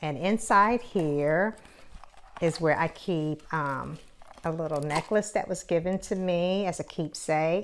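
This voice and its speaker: With an American accent and an ordinary speaking voice, a woman talks at a fairly slow pace, her fairly low pitch showing ordinary variation. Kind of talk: casual talk to camera.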